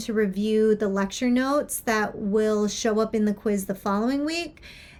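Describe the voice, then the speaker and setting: Speaking at a moderate pace, a woman with a fairly high pitch has a plain, everyday voice. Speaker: university instructor. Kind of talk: course overview lecture. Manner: casual, with filler words.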